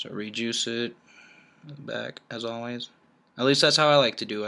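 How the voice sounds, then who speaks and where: A mumbling man at a medium pitch, fairly even in intonation, with long, frequent pauses. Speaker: vaping hobbyist, military member. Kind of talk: tutorial. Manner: casual, halting.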